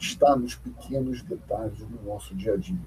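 A man talking at a moderate pace. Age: 50s. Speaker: business professor and consultant. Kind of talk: interview.

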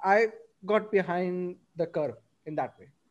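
A man talks in a high pitch with fairly even intonation. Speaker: podcast host, recent graduate. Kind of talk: casual chat.

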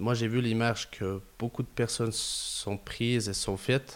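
Recorded very cleanly with a silent background, a man speaks very slowly in a flat monotone at medium pitch. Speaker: building renovation entrepreneur. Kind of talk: interview. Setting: his company office.

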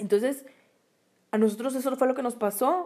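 Her tone is dark and mellow. The woman keeps a moderate pace and fairly even intonation. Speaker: podcast co-host, small business owner. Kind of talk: casual chat.

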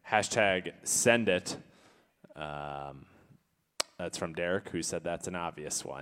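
A man's very deep, low voice at a very slow pace, with long, frequent pauses, big swings in loudness and ordinary pitch variation. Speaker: comedy game show co-host. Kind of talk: casual comedic banter. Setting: comedy club webcast.

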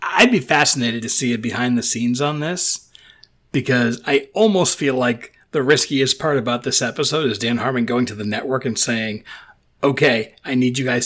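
Here a man talks at a moderate pace. He has a plain, everyday voice, pitched at a medium level. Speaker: podcast co-host. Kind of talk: casual chat.

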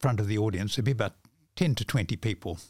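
A somewhat breathy man's voice with a New Zealand accent, medium pitch, ordinary pitch variation, dry, close sound with no echo, and a very clean recording against a silent background. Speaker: author and mentalist. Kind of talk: casual interview chat. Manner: halting, repeats words.

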